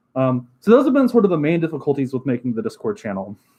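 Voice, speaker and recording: His speech races along very quickly. The man's voice is fairly high-pitched. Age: 20s. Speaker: streamer. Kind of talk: casual chat. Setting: livestream. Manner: fast; filler-heavy, many ums.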